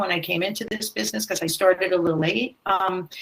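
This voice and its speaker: A woman talks in a plain, everyday voice. Her pitch is medium, with ordinary variation. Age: 60s. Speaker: theatre director. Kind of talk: panel discussion.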